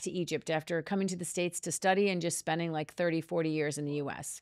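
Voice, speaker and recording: A woman speaks at a very fast pace with an Upper Midwest accent, fairly low pitch and monotone, flat intonation. The recording is very clean, with a silent background. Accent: Upper Midwest American. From US Midwest, Minnesota. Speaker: communications and personal branding consultant. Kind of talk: podcast interview, personal story.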